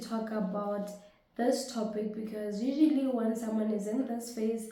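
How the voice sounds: A woman talks at a fairly high pitch for a woman, her tone dark and mellow and her intonation fairly even, with strong room echo around her.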